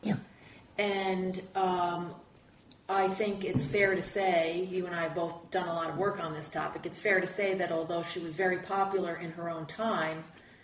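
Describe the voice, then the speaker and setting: Noticeable background noise surrounds a woman with a medium pitch. She talks at a fairly slow pace with fairly even intonation. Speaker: professor and interviewer. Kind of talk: interview.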